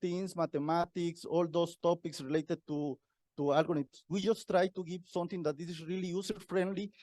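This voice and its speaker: In a Mexican accent, a man with a high pitch and a dark, mellow tone speaks at a moderate pace with fairly even intonation, in a dry, close sound with no echo. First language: Spanish. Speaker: university researcher. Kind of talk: conference talk. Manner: halting, repetitive.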